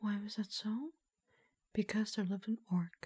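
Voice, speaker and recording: A soft-spoken delivery unfolds at a fairly slow pace. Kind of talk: fairy-tale storytelling narration. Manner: soft-spoken, quiet.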